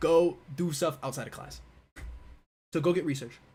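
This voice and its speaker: A man talks with an American accent. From US Northeast (Buffalo, New York). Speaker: physics PhD student, YouTuber. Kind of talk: live stream Q&A. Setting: livestream with camera and mic. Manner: fast; casual, filler-heavy.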